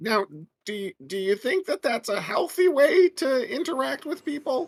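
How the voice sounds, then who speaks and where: This is a put-on character voice pitched high. It moves at a moderate pace. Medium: actual play. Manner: earnest, measured.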